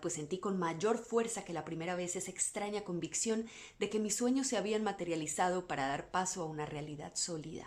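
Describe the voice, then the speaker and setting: A woman with a normal speaking voice talks at a fairly quick pace with hardly any pauses. Her pitch is medium and her intonation lively. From Latin America. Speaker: voice-over artist. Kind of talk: bedtime story reading.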